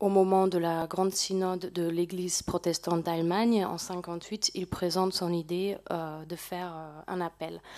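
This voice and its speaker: Against a quiet background, a woman talks at a fairly slow pace. Her voice has a medium pitch and a dark, mellow tone. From Germany. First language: German (speaking French). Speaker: volunteer at a memorial association; panelist. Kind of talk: presentation to an audience. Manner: halting, frequent hesitations. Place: hall. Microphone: podium.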